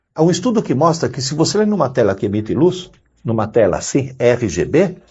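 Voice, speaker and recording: A man talks at a fairly quick pace and fairly high pitch, with very wide pitch swings and vocal fry. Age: 60s. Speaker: educator, university professor. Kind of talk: interview.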